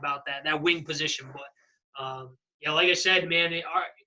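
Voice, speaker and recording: A man talks at a fairly quick pace. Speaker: football coach. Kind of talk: presentation wrap-up chat. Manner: fast.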